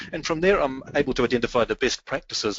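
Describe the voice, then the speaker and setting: A man with a New Zealand accent speaks at a fairly quick pace with lively intonation. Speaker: business strategy consultant. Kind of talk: webinar presentation.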